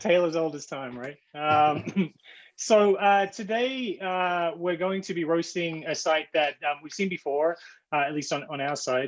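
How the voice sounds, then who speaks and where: Speaking at a moderate pace with an Australian accent, a man uses a fairly high pitch and ordinary pitch variation. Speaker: e-commerce director. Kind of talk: webinar presentation.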